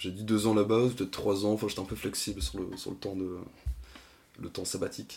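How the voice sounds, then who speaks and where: His pitch fairly low, a man speaks in a monotone, flat intonation. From Brittany, France (Lorient). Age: 20s. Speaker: podcast guest. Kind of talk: casual interview.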